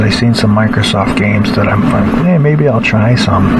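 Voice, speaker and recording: A man's voice under loud background noise. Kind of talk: casual tutorial. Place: home room.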